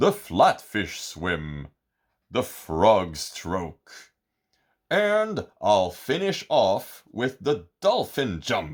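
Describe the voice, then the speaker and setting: A man does a put-on character voice, pitched fairly low and at a very slow pace. The recording is very clean, with a silent background. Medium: read story. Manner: warm, friendly.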